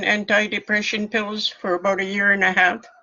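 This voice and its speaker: Over noticeable background noise, the speech moves at a fairly quick pace in a monotone, flat intonation. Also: woman. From coastal British Columbia, First Nations community. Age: 70s. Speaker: community elder and public speaker. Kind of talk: personal testimony.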